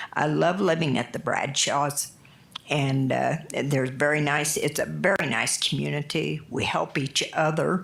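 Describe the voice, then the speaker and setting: A woman's very deep, low voice at a fairly slow pace, with very even loudness, fairly even intonation and noticeable background noise. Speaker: public commenter at city council meeting. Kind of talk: public comment testimony.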